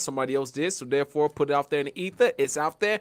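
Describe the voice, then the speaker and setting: In a dry, close sound with no echo, a man talks in an animated, bright, sharp tone. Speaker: podcast co-host. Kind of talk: casual chat.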